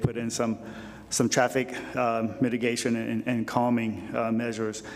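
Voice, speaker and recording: Noticeable background noise sits behind the speech. The intonation stays monotone and flat. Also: man. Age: 60s. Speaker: planning commissioner. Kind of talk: public meeting comment. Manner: halting, many fillers and repeats.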